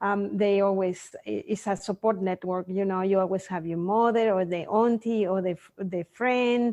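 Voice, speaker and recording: A woman's dark, mellow voice with a Mexican accent. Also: medium pitch for a woman, moderate pace, hardly any pauses, dry, close sound with no echo. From Mexico. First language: Spanish. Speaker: sleep consultant for children. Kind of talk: interview. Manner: hesitant, with fillers.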